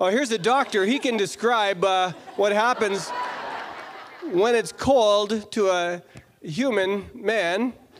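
Speaking very slowly, a man uses a high pitch with ordinary variation and long, frequent pauses. Noticeable background noise sits behind him. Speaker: fan asking question. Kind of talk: audience question. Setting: stage with audience. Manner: halting. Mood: joking, playful teasing. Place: hall. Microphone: handheld.

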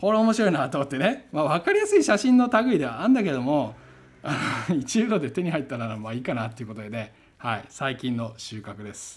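A man talks at a fairly quick pace in a somewhat breathy voice. His pitch swings very widely. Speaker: photography YouTuber and curator. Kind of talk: casual talk-to-camera review. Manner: relaxed, chatty with frequent fillers.

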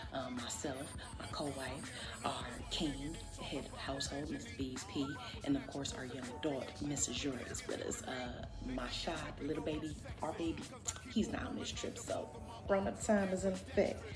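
Clear music plays in the background while a woman speaks at a moderate pace. She leaves long, frequent pauses. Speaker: family vlogger. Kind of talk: casual vlog chat. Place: home room. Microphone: phone near.

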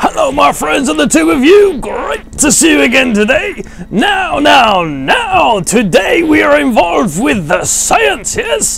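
A cartoonish character voice shouting at a fairly slow pace. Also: man, extremely high pitch for a man. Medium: puppet. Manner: theatrical, playful.

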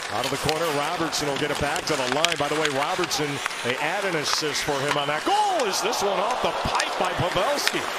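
A man talking at a fairly quick pace, dry with no echo, against loud background noise. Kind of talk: live sports commentary. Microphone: headset.

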